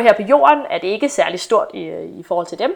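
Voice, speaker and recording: Her fairly high voice makes very wide pitch swings as this woman speaks. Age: 20s. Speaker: astronomy PhD student. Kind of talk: casual chat.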